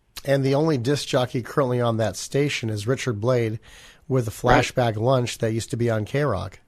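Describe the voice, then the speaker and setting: Over a very clean recording with a silent background, a man with an ordinary speaking voice talks at medium pitch and a fairly quick pace with fairly even intonation. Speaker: podcast host. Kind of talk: interview question.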